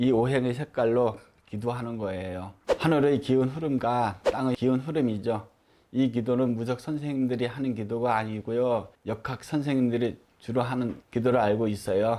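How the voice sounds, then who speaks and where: With a dark, mellow tone and medium pitch, a man speaks at a moderate pace using fairly even intonation. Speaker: shaman (Buddhist-style ritual master). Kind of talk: personal story told to camera. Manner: stutters at times.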